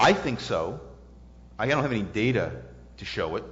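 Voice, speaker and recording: A man with an American accent and vocal fry talks at a fairly quick pace in a room with audible echo. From US South, New Orleans. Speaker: economics professor. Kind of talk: lecture Q&A. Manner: halting.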